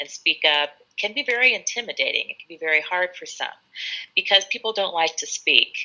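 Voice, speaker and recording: A woman with a Californian accent talks at a fairly quick pace. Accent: California American. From California, US (Sacramento). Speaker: English tutor. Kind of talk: live online English lesson chat. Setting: live video stream.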